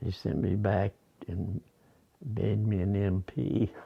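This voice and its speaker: With an American accent, a man speaks at a fairly low pitch using fairly even intonation. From US Midwest, Iowa. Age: 80s+. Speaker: war veteran. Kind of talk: interview. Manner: halting.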